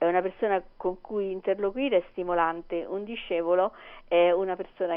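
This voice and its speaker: Here is a woman with an ordinary speaking voice and a fairly low pitch. She talks at a fairly quick pace with fairly even intonation. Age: 60s. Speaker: teacher. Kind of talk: casual chat. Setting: phone call.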